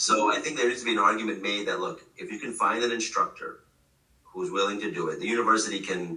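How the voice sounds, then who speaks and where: Audible room echo surrounds a man who talks very fast. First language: Gujarati. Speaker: professor. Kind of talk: casual chat. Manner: halting, many fillers and restarts.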